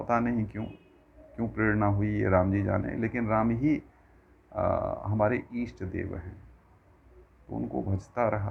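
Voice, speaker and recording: A man's fairly low voice in a Bihar accent, with ordinary pitch variation and long, frequent pauses. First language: Maithili (speaking Hindi). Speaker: religious discourse speaker. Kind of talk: religious discourse. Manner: formal.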